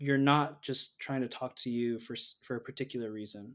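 At a moderate pace, a man with an American accent speaks in a very clean recording with a silent background. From US Northeast. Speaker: product designer. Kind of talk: casual chat.

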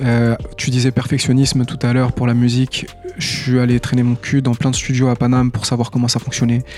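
Music plays in the background as a man speaks at a medium pitch and a fairly quick pace. His intonation is monotone and flat. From Tunisia. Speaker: rapper. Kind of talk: casual chat.

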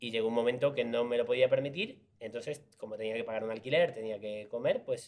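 With a slight Argentine accent, a man speaks at a fairly quick pace. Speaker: actor. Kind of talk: casual interview chat.

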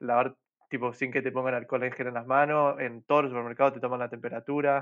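A man talks at a medium pitch with flat, monotone intonation. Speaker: podcast host. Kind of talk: casual chat.

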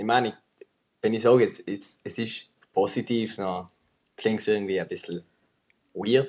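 A man is speaking. His tone is dark and mellow. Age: 20s. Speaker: videographer and filmmaker. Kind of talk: casual chat.

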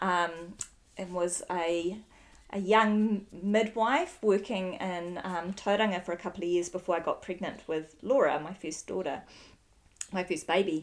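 At a fairly slow pace, a woman with a New Zealand accent speaks at a medium pitch with fairly even intonation. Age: 40s. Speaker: podcast host, midwife. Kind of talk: interview.

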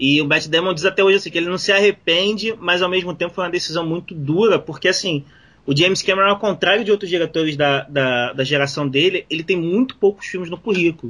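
Bright and sharp in tone, a man with a high pitch talks at a very fast pace. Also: ordinary pitch variation, quiet background. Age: 40s. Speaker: podcast co-host. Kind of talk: casual chat.

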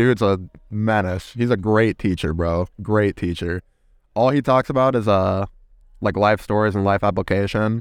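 A man speaks at a moderate pace in a fairly low pitch, with very even loudness and a plain, everyday voice. The recording is very clean, with a silent background. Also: ordinary pitch variation. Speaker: college football quarterback. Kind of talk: casual chat. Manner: casual.

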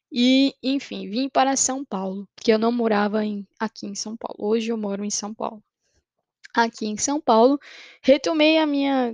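An ordinary speaking voice moves at a fairly slow pace with ordinary pitch variation, in a dry, close sound with no echo. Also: woman. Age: 20s. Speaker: podcaster. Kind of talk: personal testimony.

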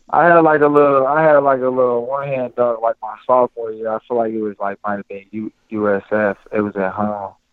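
With an American accent, a man speaks in a plain, everyday voice at a medium pitch and a fairly quick pace. He has hardly any pauses, ordinary pitch variation and big swings in loudness. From Cincinnati, Ohio. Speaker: former college basketball player and color analyst. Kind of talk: interview.

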